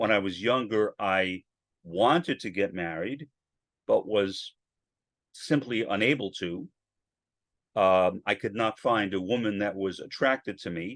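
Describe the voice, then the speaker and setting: A man speaks with fairly low pitch and ordinary pitch variation, leaving long, frequent pauses. The sound is dry and close, with no echo. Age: 60s. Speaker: podcaster. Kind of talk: solo podcast monologue. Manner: halting, with repetitions and fillers.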